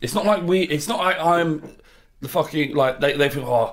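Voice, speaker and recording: At a moderate pace, a man talks with a Cockney accent. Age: 30s. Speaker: football podcast co-host. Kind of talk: casual chat.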